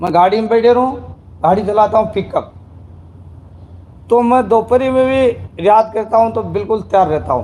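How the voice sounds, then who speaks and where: A man speaks in a high voice with a dark, mellow tone and ordinary pitch variation. He leaves long, frequent pauses. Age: 60s. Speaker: devotee sharing experience. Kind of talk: testimony. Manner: halting.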